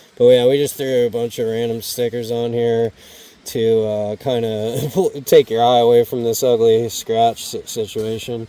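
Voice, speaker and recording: A man's medium-pitched, monotone, flat voice at a fairly slow pace, with noticeable background noise. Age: 40s. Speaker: motorcycle travel vlogger. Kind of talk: casual vlog talk. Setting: outdoors. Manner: casual, filler-heavy.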